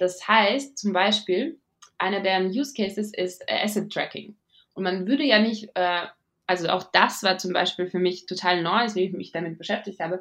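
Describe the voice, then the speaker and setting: A woman with a slight non-native accent speaks at a fairly slow pace. Her pitch is medium, with ordinary variation. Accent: barely noticeable foreign accent in German. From Latvia, Riga. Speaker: venture capital investor. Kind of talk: interview. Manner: hesitant, many fillers.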